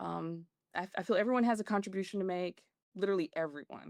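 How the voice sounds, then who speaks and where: Delivered at a moderate pace, the speech carries a Southern US accent. The recording is very clean with a silent background and a dry, close sound free of echo. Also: woman. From Macon, Georgia. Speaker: organizational development consultant. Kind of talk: interview answer.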